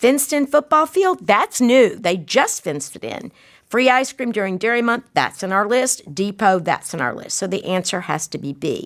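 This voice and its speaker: A woman with a fairly high pitch and some vocal fry speaks at a moderate pace with hardly any pauses and very wide pitch swings. The recording is very clean, its background silent. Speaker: test prep tutor. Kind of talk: tutorial. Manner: animated.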